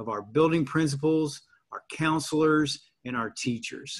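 At a fairly slow pace against a quiet background, a man talks with ordinary pitch variation. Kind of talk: formal welcome address. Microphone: video call.

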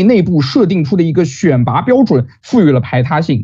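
The voice has a dark, mellow tone and moves at a fairly quick pace. Its pitch swings very widely against a quiet background. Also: man. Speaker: university student debater. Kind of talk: competitive debate. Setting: video call. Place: home room. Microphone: webcam.

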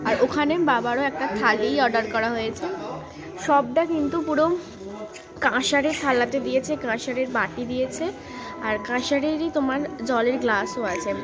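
A woman speaks with ordinary pitch variation. There is noticeable background noise. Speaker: food vlogger. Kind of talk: casual vlog chat. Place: cafe. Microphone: phone near.

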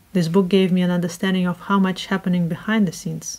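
Somewhat breathy, a woman speaks at a fairly quick pace and medium pitch with a dark, mellow tone. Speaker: book reviewer. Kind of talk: casual talk to camera. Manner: robotic, scripted. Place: home room.

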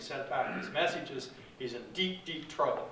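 Light background noise and audible room echo accompany a man speaking with ordinary pitch variation. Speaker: guest. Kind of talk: interview answer. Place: hall. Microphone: camera far.

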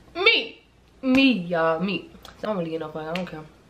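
Amid noticeable background noise and audible room echo, a woman with an American accent speaks at a moderate pace. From Chicago. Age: 20s. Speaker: YouTuber. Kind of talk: storytime vlog. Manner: casual, animated.

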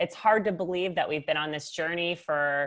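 A woman speaks in a fairly low pitch with ordinary pitch variation. The background is quiet. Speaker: webinar host. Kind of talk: show host introduction. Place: home room. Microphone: earbuds.

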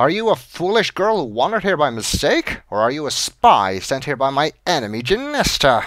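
A man's put-on character voice, fairly high and hissing, with very wide pitch swings, a moderate pace and hardly any pauses. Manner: hissing, suspicious, menacing.

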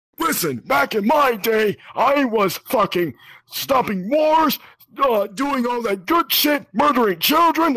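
A man speaks in a raised, projected voice at an extremely high pitch. His intonation is lively and his pace fairly slow. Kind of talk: comic overacting. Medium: game stream. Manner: ranting, crude, shouting.

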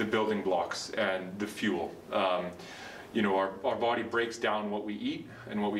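At a moderate pace, a man speaks in a fairly low, flat monotone. Room echo is audible, and there is light noise in the background. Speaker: physiotherapist or trainer. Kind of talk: educational explainer. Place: gym. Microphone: camera far.

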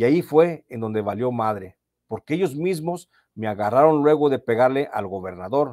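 A man with a medium-pitched voice speaks at a fairly slow pace with lively intonation. The recording is very clean, with a silent background and a dry, close sound without echo. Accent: Mexican. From Mexico, Michoacán. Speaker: journalist and channel host. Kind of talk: storytelling narration of prison chronicle.

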